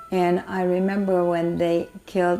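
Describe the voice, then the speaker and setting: A woman's voice at a very slow pace, with music in the background. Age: 90s. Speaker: Holocaust survivor. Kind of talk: interview answer.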